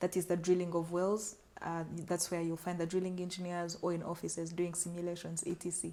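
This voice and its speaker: A woman's fairly low, dark, mellow voice, monotone and flat, at a very fast pace. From Uganda, Bushenyi. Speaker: drilling engineer. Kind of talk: casual chat.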